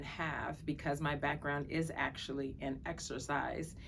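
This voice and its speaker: In an American accent, a woman talks at a fairly slow pace with vocal fry, a very deep, low pitch and fairly even intonation, with audible room echo around her. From Brooklyn, New York. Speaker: physician. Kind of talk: self-introduction to camera.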